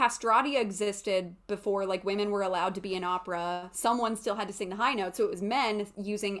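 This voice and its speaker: A woman with a normal speaking voice talks at a fairly quick pace with hardly any pauses, her medium pitch held in fairly even intonation. The recording is very clean, with a silent background. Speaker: voice teacher and classical soprano. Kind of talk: lecture.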